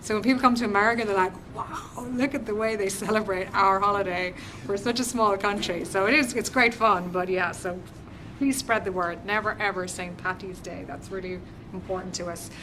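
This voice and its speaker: With an Irish accent, a woman speaks at a medium pitch and a fairly quick pace with ordinary pitch variation, amid noticeable background noise and audible room echo. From Ireland. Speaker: government business development representative. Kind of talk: guest lecture to university class. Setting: university classroom. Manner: conversational, interactive.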